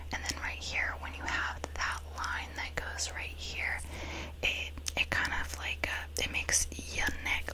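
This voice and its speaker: Whispering in a relaxed tone, a woman speaks at a moderate pace over noticeable background noise. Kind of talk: ASMR makeup tutorial. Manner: whispered; soft-spoken, relaxed.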